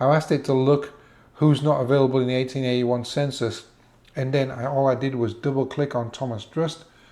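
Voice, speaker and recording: A man's medium-pitched, dark and mellow voice, fairly quick in pace, with monotone, flat intonation. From England. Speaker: genealogy tutorial presenter. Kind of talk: tutorial. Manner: casual, slightly halting.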